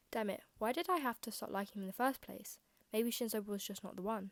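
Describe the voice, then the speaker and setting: A woman does a put-on character voice at a fairly high pitch. She mumbles at a very fast pace. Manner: mumbling.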